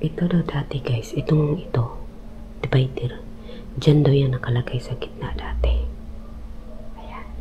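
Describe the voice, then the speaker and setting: A soft-spoken woman talks at a fairly slow pace with long, frequent pauses. Her loudness swings widely over noticeable background noise. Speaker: ghost hunting vlogger. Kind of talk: live vlog walkthrough. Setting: inside abandoned house at night. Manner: hushed, speaking softly on purpose.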